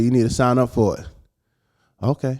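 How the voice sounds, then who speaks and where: A man with an American accent, dark and mellow in tone, medium in pitch, at a moderate pace, on a very clean recording with a silent background. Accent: slight Caribbean accent, used at will. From US Virgin Islands (St Thomas). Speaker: mixed martial arts fighter. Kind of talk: casual interview chat.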